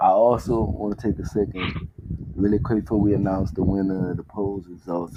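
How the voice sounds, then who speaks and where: Fairly low-pitched speech from a man at a moderate speed, over noticeable background noise. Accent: Southern US. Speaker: podcast host. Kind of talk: casual chat.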